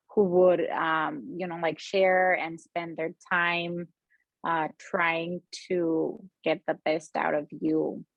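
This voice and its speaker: A woman with a Spanish accent, fairly low in pitch, with fairly even intonation at a very slow pace. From Mexico. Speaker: freelance copywriter. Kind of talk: casual interview chat. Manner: halting, many fillers.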